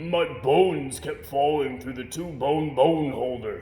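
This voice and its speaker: Over clear background noise, a man in a put-on character voice talks at a fairly slow pace with a fairly high pitch. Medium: read story.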